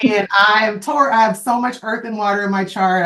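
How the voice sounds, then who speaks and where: A woman talks at a moderate pace with a medium pitch and fairly even intonation. Hers is an unremarkable speaking voice. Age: 30s. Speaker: astrologer podcast co-host. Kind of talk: casual chat.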